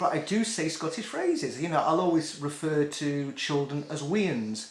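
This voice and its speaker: Delivered at a moderate pace with a slight Scouse accent, the speech comes through noticeable background noise. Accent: slight Scouse tinge. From northwest England.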